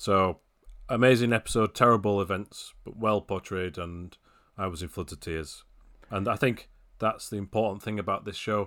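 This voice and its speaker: A man speaks with a British accent at a moderate pace, his pitch fairly low and his intonation fairly even. His loudness swings widely, and the recording is very clean with a silent background. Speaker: racing video games website editor. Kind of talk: casual chat.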